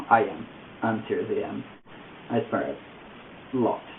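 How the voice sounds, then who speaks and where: A man of medium pitch speaks with an Italian accent. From Italy. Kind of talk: casual talk to camera.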